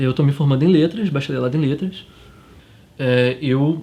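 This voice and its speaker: A man speaks with a fairly high pitch and a somewhat breathy voice. His tone is dark and mellow. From Cabo Frio, Rio de Janeiro state, Brazil. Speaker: university student. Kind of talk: documentary interview. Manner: halting.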